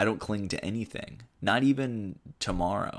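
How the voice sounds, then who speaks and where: Fairly slow speech from a man with a fairly low pitch and ordinary pitch variation, on a very clean recording with a silent background. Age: 30s. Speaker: podcast host. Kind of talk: solo introductory monologue. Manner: halting, with many fillers and repetitions; enthusiastic.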